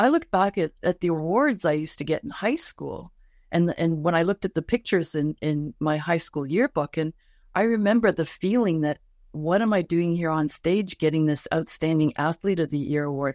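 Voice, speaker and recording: This is an ordinary speaking voice, a woman at fairly low pitch with ordinary pitch variation and a fairly quick pace. The sound is dry and close with no echo, against a quiet background. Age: 60s. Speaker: life coach. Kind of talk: interview. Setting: Instagram live.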